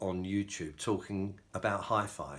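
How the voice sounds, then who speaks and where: A man is speaking. He has a British accent. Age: 60s. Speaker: hi-fi hobbyist YouTuber and novelist. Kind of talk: casual vlog talk to camera. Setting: home, filmed by a companion. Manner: hesitant, with frequent fillers.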